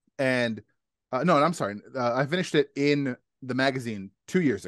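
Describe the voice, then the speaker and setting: A man with a medium-pitched voice speaks in an animated tone with lively intonation, at a fairly quick pace and with big swings in loudness. The background is quiet, and the sound is dry and close, with no echo. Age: 30s. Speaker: podcast host. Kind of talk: casual chat.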